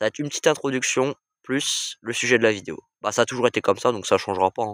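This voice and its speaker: Quiet and medium in pitch, a man speaks with ordinary pitch variation. The recording is very clean with a silent background, dry and close with no echo. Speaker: train-spotting YouTuber. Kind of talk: casual vlog monologue. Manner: hesitant with many fillers.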